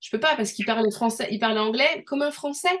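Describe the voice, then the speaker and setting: This woman's voice sits fairly high in pitch. Its rise and fall is ordinary. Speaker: language learning coach. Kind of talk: online group coaching session. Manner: hesitant, many fillers.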